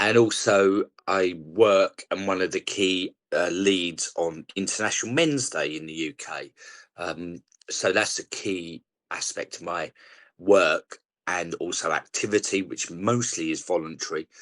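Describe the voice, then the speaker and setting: A man with a strong South East London accent talks at a fairly slow pace. His loudness swings widely. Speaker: charity leader and campaigner. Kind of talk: podcast interview.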